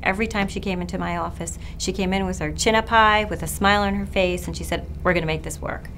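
With an American accent, a woman talks very fast over light background noise. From Long Island, New York; New York. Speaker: physician. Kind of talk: interview answers. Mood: warm, admiring storytelling. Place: office.

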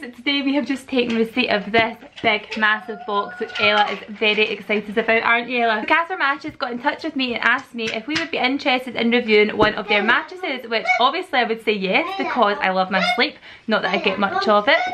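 Noticeable background noise fills the clip. Through it, a woman speaks very fast. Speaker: family vlogger. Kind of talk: casual vlog chat, sponsored review. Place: home room. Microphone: phone near.

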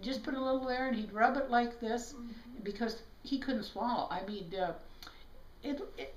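A high-pitched woman's voice with an American accent and audible room echo. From South Dakota, USA. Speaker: chiropractor. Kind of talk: interview answer. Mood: reflective storytelling. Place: home room. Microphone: camera far.

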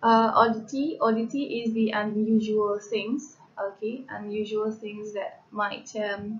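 This is a woman's voice. She talks fairly slowly. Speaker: lecturer. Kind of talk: lecture. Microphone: webcam.

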